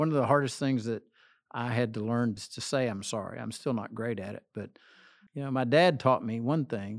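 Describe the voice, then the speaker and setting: A man with an ordinary speaking voice talks at a moderate pace, medium in pitch with ordinary pitch variation, on a very clean recording with a silent background. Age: 60s. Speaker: associate pastor. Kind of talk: interview.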